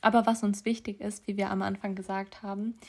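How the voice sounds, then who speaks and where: In a very clean recording with a silent background, a woman with a medium-pitched, somewhat breathy voice speaks in a flat monotone. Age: young. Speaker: podcast co-host. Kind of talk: casual chat.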